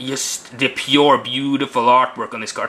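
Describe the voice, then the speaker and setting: A man's bright, sharp tone at a fairly high pitch, with a non-native accent and a moderate pace. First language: not English. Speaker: card game video reviewer. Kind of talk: casual video review. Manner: halting.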